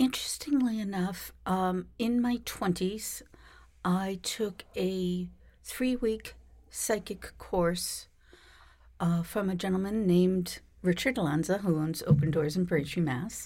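On a very clean recording with a silent background, a somewhat breathy, dark and mellow voice with an American accent moves at a fairly slow pace with ordinary pitch variation. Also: woman, medium pitch for a woman. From US Northeast, Boston. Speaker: psychic. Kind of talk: interview. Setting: studio.

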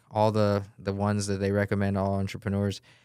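Fairly quick speech, dry and close with no echo, on a very clean recording with a silent background. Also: man. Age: 30s. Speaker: independent music producer and sound engineer. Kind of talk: casual interview. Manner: halting.

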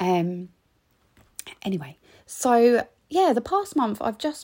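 This woman has a dark, mellow tone and an English accent. She speaks at a very slow pace. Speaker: podcaster. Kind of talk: casual chat. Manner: rambling, chatty.

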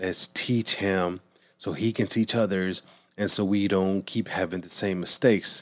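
A man speaks at a fairly slow pace in a very deep, low pitch. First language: not English. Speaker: podcast host. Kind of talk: casual chat. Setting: home studio. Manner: animated; halting.

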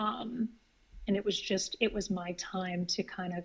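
In an American accent, a woman speaks at a medium pitch and a moderate pace. Her voice is somewhat breathy, with fairly even intonation. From US Northeast, northern Maine. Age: 30s. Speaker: vegan guest, certified iridologist. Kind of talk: casual interview.

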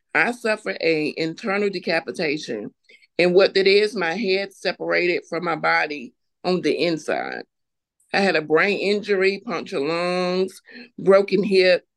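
With an American accent, a woman speaks in an ordinary speaking voice at medium pitch and a moderate pace, with ordinary pitch variation. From North Carolina, US South. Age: 40s. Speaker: clothing business owner. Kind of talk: personal testimony in interview.

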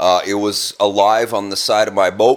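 A man speaks with a fairly low pitch in an unremarkable speaking voice. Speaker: cooking correspondent. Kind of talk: recorded segment, casual.

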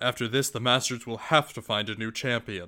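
The man's voice is medium in pitch, with fairly even intonation. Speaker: podcast host and narrator. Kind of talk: scripted fiction narration, fairy-tale mythic storytelling. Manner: dramatic, vivid, grim and intense; measured, storyteller pacing.

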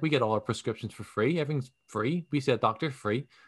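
Against a quiet background, a man with a Belfast accent talks very fast with ordinary pitch variation. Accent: Belfast Northern Irish. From Northern Ireland, Belfast. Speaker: podcaster. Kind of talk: casual chat.

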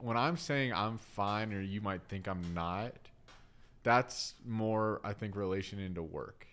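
A plain, everyday voice from a man, fairly low-pitched and fairly slow, with ordinary pitch variation. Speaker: podcast co-host. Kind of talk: casual chat.

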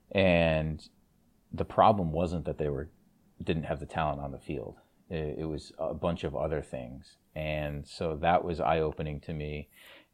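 A man's very deep, low voice, fairly slow and with fairly even intonation. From Rhode Island. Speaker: retired soccer player and club co-owner. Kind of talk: interview.

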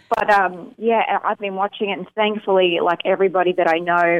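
A woman speaks at medium pitch and a moderate pace. Her intonation is fairly even. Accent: Australian. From Melbourne, Australia. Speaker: singer-songwriter. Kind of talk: radio interview, casual chat.

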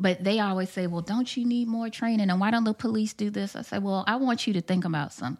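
On a very clean recording with a silent background, a woman speaks in an ordinary speaking voice at medium pitch, with ordinary pitch variation. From South Carolina, raised in many places as military child. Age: 40s. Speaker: police assistant chief. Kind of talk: interview.

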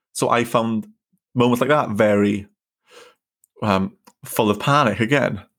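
A man with a Welsh accent at medium pitch, fairly slow and with long, frequent pauses, his loudness very even and his intonation fairly even. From South Wales. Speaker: stuttering activist and podcaster. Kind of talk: casual interview. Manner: halting, stutters at times.

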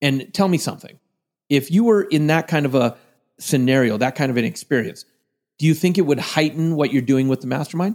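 With a Canadian accent and a plain, everyday voice, a man talks at a fairly quick pace in a fairly high pitch with ordinary pitch variation. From western Canada (British Columbia). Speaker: motivational speaker and trainer. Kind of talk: interview.

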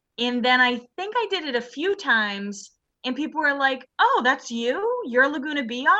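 A woman's high-pitched, bright, sharp voice in an American accent, raised and projected, fairly slow, with very wide pitch swings. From Massachusetts, US. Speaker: social media creator and podcaster. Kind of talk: casual chat.

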